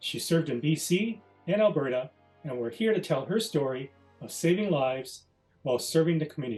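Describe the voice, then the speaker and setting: Over music in the background, a man speaks at a moderate pace with a fairly high pitch. His intonation is lively. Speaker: honorary division president. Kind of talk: scripted opening remarks.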